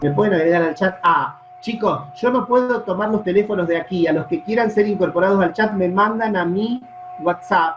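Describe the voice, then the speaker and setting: Music behind a man's high voice. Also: ordinary pitch variation, moderate pace. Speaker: law professor. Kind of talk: online lecture. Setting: video call. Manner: soft-spoken. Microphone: sometimes sounds quiet to students.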